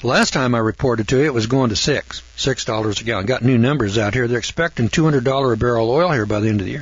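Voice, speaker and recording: Somewhat breathy and medium in pitch, a man rattles along at a very fast pace with ordinary pitch variation. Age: 70s. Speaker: radio host. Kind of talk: radio monologue. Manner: folksy, rambling conversational.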